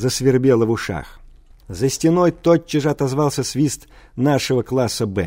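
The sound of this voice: The pitch shifts in an ordinary way. It comes from an unforced reading voice.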